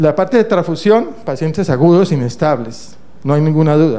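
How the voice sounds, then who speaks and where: Against audible room echo, a man with a fairly high pitch speaks with ordinary pitch variation. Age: 60s. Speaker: internal medicine doctor and professor. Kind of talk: conference lecture. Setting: conference stage with audience.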